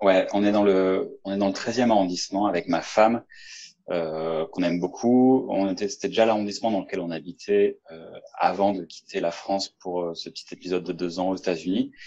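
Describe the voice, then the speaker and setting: A man's fairly low, dark, mellow voice with fairly even intonation. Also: moderate pace. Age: 30s. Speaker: engineer. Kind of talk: testimony. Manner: halting.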